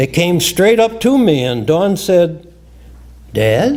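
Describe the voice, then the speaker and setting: A very slow, dark, mellow delivery in a Midwestern American accent. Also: man. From US Midwest, Illinois. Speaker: retired scientist and memoir writer. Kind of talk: reading aloud.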